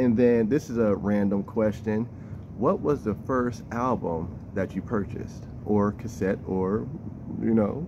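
The voice has ordinary pitch variation against noticeable background noise. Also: man, fairly low pitch for a man, fairly slow pace. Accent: American. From Youngstown, Ohio (North Side); Ohio. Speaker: interviewer, channel host; interviewer. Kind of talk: casual interview. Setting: public library. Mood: relaxed, friendly. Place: hall.

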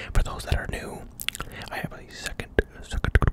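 Whispering, a man speaks in an intense tone. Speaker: ASMR creator. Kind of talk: ASMR talk to camera with mouth sounds. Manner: whispered, intense. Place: home room. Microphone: studio mic.

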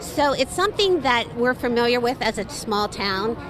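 A high-pitched woman at a moderate pace, dry with no echo, over music in the background. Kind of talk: interview answer. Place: street. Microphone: handheld.

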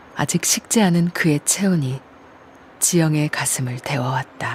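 A soft-spoken woman talks in a calm tone at a very deep, low pitch and a fairly slow pace, with ordinary pitch variation. Noticeable background noise sits behind her. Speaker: voice actor. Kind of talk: audiobook-style literary narration. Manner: calm, soft-spoken.

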